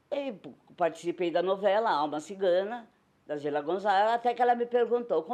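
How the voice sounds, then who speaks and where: Her voice has a dark, mellow tone and a medium pitch, and the woman speaks at a moderate pace. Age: old. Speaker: retired circus-theatre actress and singer. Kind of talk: interview testimony.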